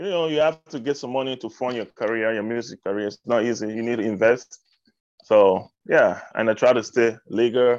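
A man with an African accent talks at a moderate pace. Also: medium pitch for a man, ordinary pitch variation. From Cameroon. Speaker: hip hop artist. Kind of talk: casual interview chat. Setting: radio interview.

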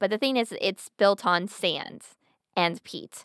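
A woman talks at a moderate pace with an American accent in a normal speaking voice. The recording is very clean and dry, close with no echo, over a silent background. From Pennsylvania. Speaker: podcast co-host. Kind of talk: casual chat.

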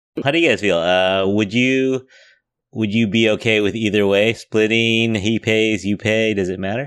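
A man talks in a normal speaking voice, fairly low in pitch, with fairly even intonation. His pace is moderate, and the background is quiet. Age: 50s. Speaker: podcast host. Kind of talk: casual chat.

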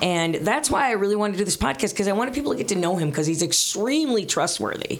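A woman with an American accent, medium pitch and very wide pitch swings, over noticeable background noise. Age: 50s. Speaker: radio host. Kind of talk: casual chat.

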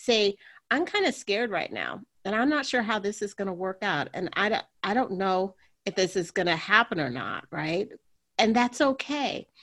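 Against a quiet background, a woman with an ordinary speaking voice talks at a moderate pace in a medium pitch, her intonation lively. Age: 50s. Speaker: radiologist and sex coach. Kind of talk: interview.

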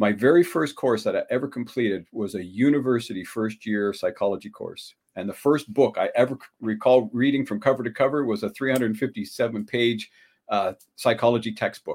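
A man with an ordinary speaking voice, ordinary pitch variation and a fairly quick pace. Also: medium pitch for a man. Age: 60s. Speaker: relationship coach. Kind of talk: interview. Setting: video call.

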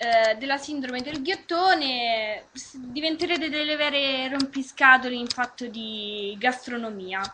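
A raised, projected voice with a bright, sharp tone, lively intonation and big swings in loudness. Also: woman. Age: 20s. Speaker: web radio host. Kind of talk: casual chat. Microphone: unstable connection.

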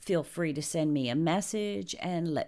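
In a very clean recording with a silent background, a woman with a New Jersey accent speaks at a fairly slow pace in a very deep, low pitch with a dark, mellow tone. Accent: New Jersey American. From New Jersey, US. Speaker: podcast host. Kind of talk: scripted introduction monologue.

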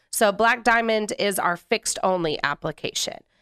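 Here is a woman with an ordinary speaking voice, medium in pitch, at a moderate pace with lively intonation. The recording is very clean and dry, close with no echo and a silent background. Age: 30s. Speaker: manufacturer sales representative. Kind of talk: casual interview.

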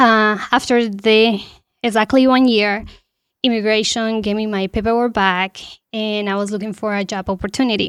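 A woman with a fairly high pitch speaks in a flat monotone. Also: moderate pace, very clean recording, silent background. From Colombia, Bogotá. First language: Spanish. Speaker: panel guest, immigrant resident. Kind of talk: personal testimony. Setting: studio.

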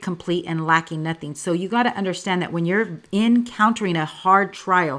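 A normal speaking voice from a woman, fairly low-pitched, at a moderate pace. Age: 40s. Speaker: paralegal and church small group leader. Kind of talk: faith testimony interview.

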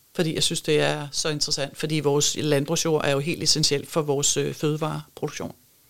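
A woman's very deep, low voice with vocal fry, monotone and flat, very even in loudness, at a moderate pace with hardly any pauses. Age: 50s. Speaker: architect and sustainability advisor. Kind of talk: interview conversation. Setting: studio.

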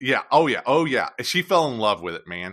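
Lively intonation marks this man's speech, and his tone is bright and sharp. The background stays quiet. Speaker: pinball reviewer. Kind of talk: casual interview chat.

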